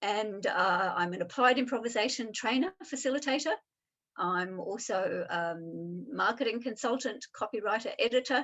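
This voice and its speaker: Speaking at a moderate pace with an Australian accent, a woman uses lively intonation and a fairly high pitch. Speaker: improviser and applied improvisation trainer. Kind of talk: interview.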